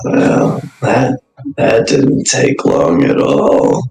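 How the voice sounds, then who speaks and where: A man uses a raspy, put-on character voice at a very slow pace. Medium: actual play. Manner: laid-back, sly.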